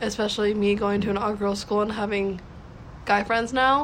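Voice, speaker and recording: Audible room echo surrounds a woman speaking at a fairly high pitch in a monotone, flat intonation. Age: 18 years old. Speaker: young author, college freshman. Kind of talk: casual interview. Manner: halting, filler-heavy.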